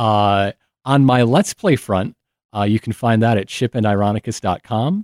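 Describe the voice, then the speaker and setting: A man with an ordinary speaking voice talks at a moderate pace and medium pitch with ordinary pitch variation, in a very clean recording with a silent background and a dry, close sound with no echo. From Michigan, US Midwest. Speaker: podcast host and history enthusiast. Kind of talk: casual chat.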